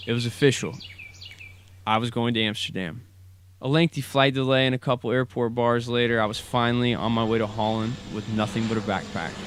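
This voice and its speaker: A man with an unremarkable speaking voice, an American accent, medium pitch, fairly even intonation and a fairly quick pace. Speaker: student storyteller. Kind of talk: personal story narration.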